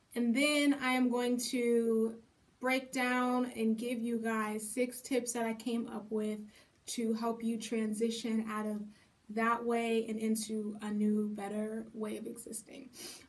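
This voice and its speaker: Speaking very slowly, a woman with a fairly high pitch keeps a monotone, flat delivery as the room echo is audible. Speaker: vlogger. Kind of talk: casual monologue. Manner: hesitant, many fillers.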